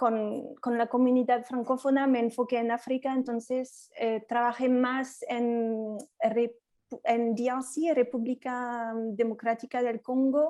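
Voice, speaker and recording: A woman with a French accent speaks very slowly in a high voice with a dark, mellow tone and monotone, flat intonation against a quiet background. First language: French (speaking Spanish). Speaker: education in emergencies specialist, facilitator. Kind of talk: self-introduction in online workshop. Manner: halting, repeats words.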